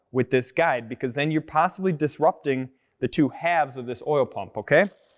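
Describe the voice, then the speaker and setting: A man is talking against a quiet background. His pitch variation is ordinary. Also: fairly quick pace. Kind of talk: tutorial. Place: workshop.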